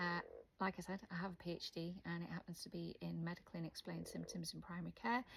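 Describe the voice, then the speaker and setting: In a Welsh accent, a woman talks at a fairly quick pace. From Wales. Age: 40s. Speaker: video blogger with hearing loss. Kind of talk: casual vlog to camera. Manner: hesitant, many fillers.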